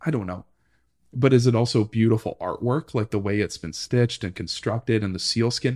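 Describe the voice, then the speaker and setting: A man speaks at medium pitch and a fairly quick pace with a Canadian accent. His pitch varies in an ordinary way against a quiet background. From Ottawa, Ontario, Canada. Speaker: archivist. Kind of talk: interview. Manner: halting, many fillers.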